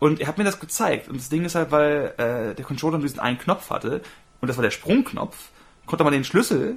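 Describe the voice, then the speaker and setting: He has an ordinary speaking voice and lively intonation. The man's pitch is fairly high and his pace fairly quick. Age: 30s. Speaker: podcast co-host. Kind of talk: casual chat.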